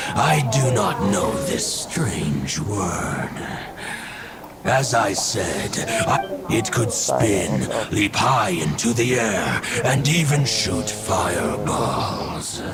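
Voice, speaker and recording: Someone performs a put-on character voice at a very slow pace over loud background noise. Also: man, fairly low pitch for a man. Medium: game stream. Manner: formal, archaic, measured.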